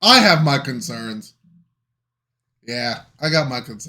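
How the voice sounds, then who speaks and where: Speaking with a northern US accent, a man uses lively intonation at a fairly high pitch. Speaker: reaction channel co-host. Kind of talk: casual chat.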